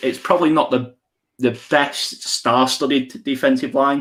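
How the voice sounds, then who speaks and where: With an English accent, a man speaks at a moderate pace. His fairly high voice keeps a fairly even intonation. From England. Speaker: podcast host. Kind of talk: casual chat. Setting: live stream.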